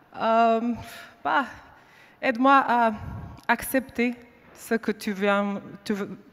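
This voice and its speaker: A woman with a non-native accent and a fairly high pitch, at a very slow pace with long, frequent pauses. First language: not French (speaking French). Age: 30s. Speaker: faith witness. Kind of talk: testimony. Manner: halting.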